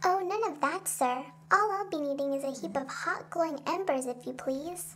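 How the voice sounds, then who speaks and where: Someone uses a put-on character voice at a high pitch, with clear background noise behind it. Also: moderate pace. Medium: audio drama. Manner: cool and calm.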